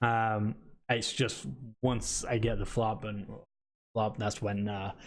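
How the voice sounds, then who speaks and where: This man's voice is fairly low. He speaks very slowly with fairly even intonation. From Britain. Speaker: esports podcast host. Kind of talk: casual chat. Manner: halting, many fillers.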